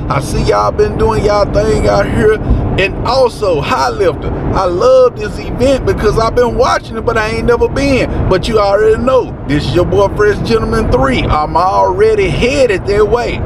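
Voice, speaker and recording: A man at a moderate pace, dry with no echo, with noticeable background noise. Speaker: vlogger. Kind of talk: casual vlog chat. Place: car.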